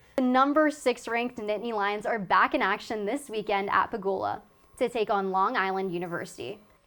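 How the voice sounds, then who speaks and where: A woman speaks in an ordinary speaking voice at a fairly high pitch and a moderate pace. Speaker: student sports broadcaster. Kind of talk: sports news report.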